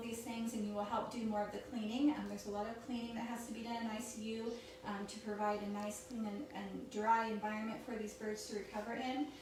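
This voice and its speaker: A fairly high-pitched woman at a fairly quick pace, with audible room echo and noticeable background noise. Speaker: vet tech. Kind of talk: informal educational talk.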